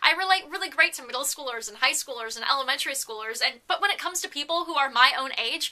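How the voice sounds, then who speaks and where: A woman talks at a very fast pace in a raised, projected, high-pitched voice, with hardly any pauses and big swings in loudness. Her tone is animated and her intonation lively, over noticeable background noise. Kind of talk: casual vlog monologue.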